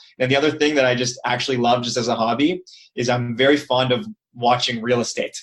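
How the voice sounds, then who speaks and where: A man with a Toronto accent talks at a very fast pace. His pitch is medium and his intonation fairly even. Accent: Toronto Canadian. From Canada, Toronto. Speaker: periodontist. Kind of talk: casual interview chat.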